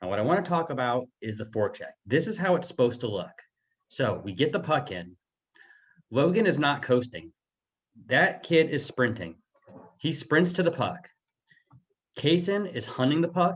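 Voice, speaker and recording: A man speaks at fairly high pitch with vocal fry. His pitch swings very widely, with long, frequent pauses. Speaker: youth hockey coach. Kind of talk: game film breakdown. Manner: fast.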